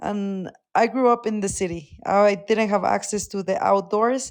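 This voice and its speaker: A woman with a Mexican accent speaks at a fairly slow pace and medium pitch with fairly even intonation, on a very clean recording with a silent background. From Mexico, León, Guanajuato. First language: Spanish. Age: 20s. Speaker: mountaineer and Arctic explorer. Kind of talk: podcast interview.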